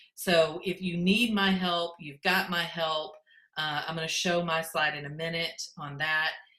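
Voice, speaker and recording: Bright and sharp in tone, the voice moves at a fairly slow pace with fairly even intonation and big swings in loudness, with audible room echo. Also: woman, fairly low pitch for a woman. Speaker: education technology consultant. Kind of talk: conference presentation. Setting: virtual conference.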